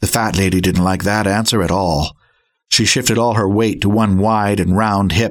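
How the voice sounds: In a natural reading voice with fairly even intonation, the speaker reads against a quiet background.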